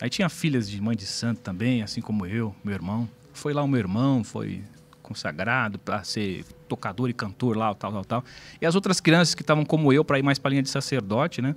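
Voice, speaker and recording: Using an ordinary speaking voice, a man talks at medium pitch and a fairly quick pace. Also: lively intonation. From São Paulo, Brazil (south zone). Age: 40s. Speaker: pastor. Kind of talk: testimony.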